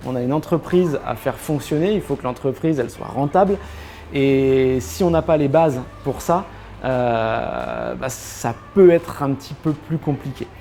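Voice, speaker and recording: A man's fairly high voice at a fairly slow pace, ordinary pitch variation, and noticeable background noise. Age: 30s. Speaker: shop owner. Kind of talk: interview. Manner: hesitant, many fillers.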